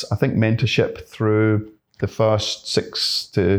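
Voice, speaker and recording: A man at a very slow pace. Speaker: pest control business owner. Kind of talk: casual interview chat.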